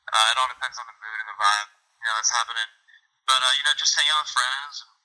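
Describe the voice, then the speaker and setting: Speaking very fast, a man delivers his words with an American accent. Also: long, frequent pauses. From US, Western Pennsylvania. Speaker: baseball player. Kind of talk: interview.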